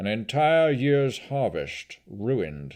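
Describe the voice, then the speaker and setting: A man's guttural put-on character voice, medium in pitch, with lively intonation at a very slow pace. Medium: read story. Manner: grave, heavy.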